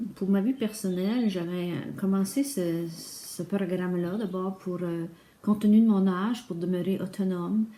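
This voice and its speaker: Her pitch medium for a woman, a woman speaks at a fairly slow pace with fairly even intonation. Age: 60s. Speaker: retired accountant, client testimonial. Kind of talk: testimony. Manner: halting, many hesitations.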